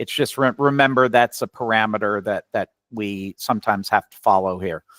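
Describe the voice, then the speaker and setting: Dry and close with no echo, a man with an American accent speaks fairly low at a moderate pace, with ordinary pitch variation and big swings in loudness. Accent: slight New York accent, occasionally. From New York. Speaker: physician and educator. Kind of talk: webinar lecture. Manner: conversational.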